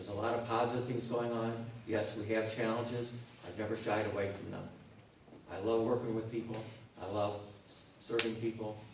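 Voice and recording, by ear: At a moderate pace, a man speaks with fairly low pitch and little pitch movement amid strong room echo.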